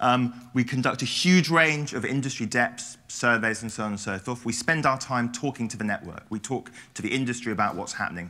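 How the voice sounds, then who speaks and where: A man with a British accent at medium pitch, bright and sharp in tone, at a fairly quick pace with ordinary pitch variation. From England. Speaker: research consultant, conference speaker. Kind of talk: presentation. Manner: fast; occasional mumbling.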